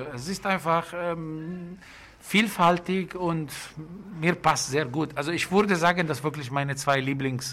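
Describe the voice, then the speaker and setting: In an Italian accent, a man with a fairly high pitch and a bright, sharp tone talks at a fairly slow pace. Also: ordinary pitch variation. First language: Italian (speaking German). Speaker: bakery and restaurant owner. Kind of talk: casual interview. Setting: in a restaurant. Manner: halting. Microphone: muffled by face mask.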